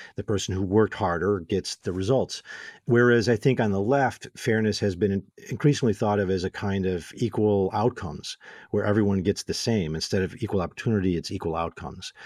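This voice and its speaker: With an American accent and a plain, everyday voice, a man speaks at a fairly quick pace with ordinary pitch variation, in a dry, close sound with no echo. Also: fairly low pitch for a man. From Illinois, Waukegan. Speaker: philosophy professor. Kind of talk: casual interview.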